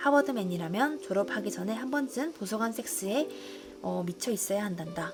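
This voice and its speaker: Music plays in the background as a woman talks at a fairly quick pace. Her fairly high voice swings very widely in pitch. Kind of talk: audiobook reading of nonfiction.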